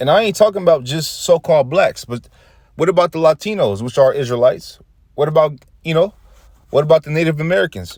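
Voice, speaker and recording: On a very clean recording with a silent background, a man talks very fast in an animated tone with lively intonation. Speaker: street preacher / religious video host. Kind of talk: religious teaching monologue. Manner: animated, casual with fillers; stuttering at times.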